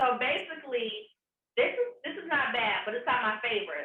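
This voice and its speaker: A woman with a slight Southern US accent speaks at a moderate pace. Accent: slight Southern country. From US South, Atlanta. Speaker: vegan chef. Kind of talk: cooking demonstration. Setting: on camera, recorded demo. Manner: casual, chatty.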